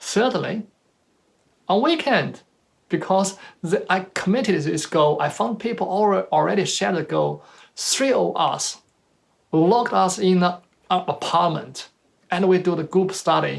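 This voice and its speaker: A man with a Chinese accent at a fairly slow pace, long, frequent pauses, very clean recording with a silent background. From China. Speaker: motivational speaker. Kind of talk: motivational talk.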